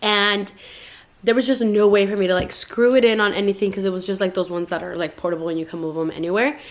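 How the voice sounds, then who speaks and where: Noticeable background noise sits behind a woman talking at a very fast pace and medium pitch. Her tone is animated, with ordinary pitch variation. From California (Stockton), Mexican-American. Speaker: YouTuber, mom vlogger. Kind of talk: casual vlog haul.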